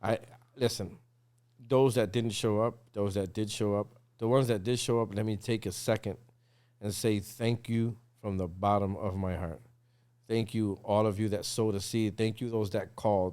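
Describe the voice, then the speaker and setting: A man speaks at a moderate pace with long, frequent pauses, his pitch fairly low and his intonation fairly even. He has an American accent and a dark, mellow tone. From Massachusetts, US. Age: 40s. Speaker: drummer. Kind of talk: casual chat. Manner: halting.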